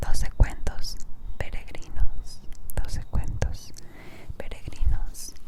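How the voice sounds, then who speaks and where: Noticeable background noise behind a woman's whisper. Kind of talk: casual ASMR intro talk. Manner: whispered.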